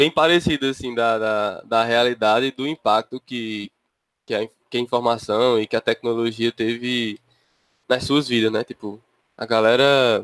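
At a fairly slow pace, a man with an unremarkable speaking voice speaks at a medium pitch with fairly even intonation, captured with a dry, close sound and no echo. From interior of Paraíba, Brazil. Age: 20s. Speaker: podcast co-host, software engineering master's student. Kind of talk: casual chat.

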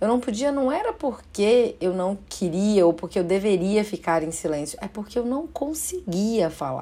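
A woman at a moderate pace with very wide pitch swings and hardly any pauses. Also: medium pitch for a woman. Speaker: podcast host and psychologist. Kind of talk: reflective monologue.

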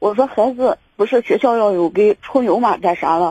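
A woman talks at a moderate pace with a dark, mellow tone, medium pitch and ordinary pitch variation. The sound is dry and close, with no echo. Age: 30s. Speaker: caller seeking relationship advice. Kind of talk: phone-in advice call. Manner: halting, many fillers.

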